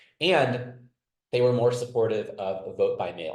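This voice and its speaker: Audible room echo surrounds a man's somewhat breathy voice. His pitch variation is ordinary. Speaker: political science researcher. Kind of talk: webinar panel presentation. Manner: fast.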